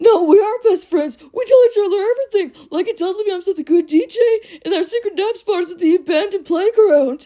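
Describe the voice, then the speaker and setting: Using a put-on character voice at an extremely high pitch, a woman speaks at a fairly quick pace with hardly any pauses. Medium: solo performance.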